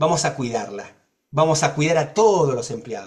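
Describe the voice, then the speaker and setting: At a moderate pace, a man talks with a somewhat breathy voice. His pitch is fairly high. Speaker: accessibility advocate. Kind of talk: panel discussion.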